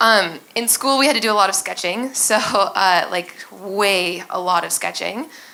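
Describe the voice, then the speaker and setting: A woman with an American accent speaks fairly slowly at a medium pitch with ordinary pitch variation and hardly any pauses. Noticeable background noise and audible room echo fill the recording. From United States. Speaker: user experience designer. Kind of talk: conference talk.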